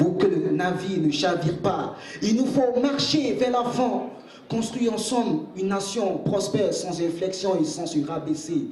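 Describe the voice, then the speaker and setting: There is noticeable background noise behind a man speaking at a fairly slow pace. His intonation is lively. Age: young. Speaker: spoken-word poet. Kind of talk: spoken-word poetry performance.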